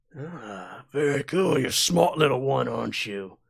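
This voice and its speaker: In a raspy, put-on character voice of medium pitch, a man speaks at a moderate pace with very wide pitch swings and big swings in loudness. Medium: actual play. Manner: smooth, condescending.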